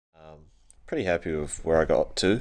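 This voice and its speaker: Captured in a very clean recording with a silent background, a man with a New Zealand accent speaks in a very deep, low voice. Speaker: car fabricator vlogger. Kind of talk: casual vlog narration. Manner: casual, hesitant with fillers.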